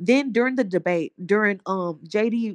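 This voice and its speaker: Against a quiet background, a woman with an American accent speaks at a fairly high pitch with ordinary pitch variation, in a dry, close sound with no echo. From Houston, Texas. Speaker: caller, engineer. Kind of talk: heated debate.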